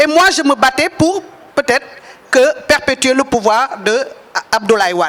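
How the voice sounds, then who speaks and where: A woman's high-pitched voice with very wide pitch swings, a fairly slow pace, and noticeable background noise. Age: 70s. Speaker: political figure. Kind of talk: speech at a press gathering.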